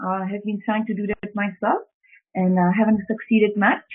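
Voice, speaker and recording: A woman speaks with a Czech accent. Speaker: public speaking trainer. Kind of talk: webinar presentation. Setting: online webinar. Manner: halting with fillers.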